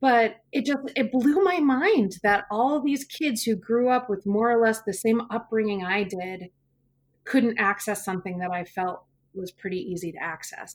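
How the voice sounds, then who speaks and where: An unremarkable speaking voice with lively intonation, delivered at a moderate pace. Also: woman, fairly high pitch for a woman. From US Pacific Northwest (central Washington). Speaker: middle school teacher. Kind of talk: interview.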